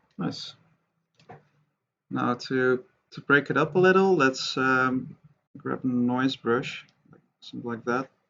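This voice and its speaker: Soft-spoken, a man talks at a very slow pace with ordinary pitch variation and long, frequent pauses. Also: medium pitch for a man. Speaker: 3D art tutorial creator. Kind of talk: tutorial. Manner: quiet, soft-spoken.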